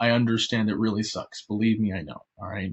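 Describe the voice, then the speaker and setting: A man talks at a fairly quick pace. He speaks with an American accent. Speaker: online math teacher. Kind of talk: online class lesson. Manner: fast; animated. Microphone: glitchy connection.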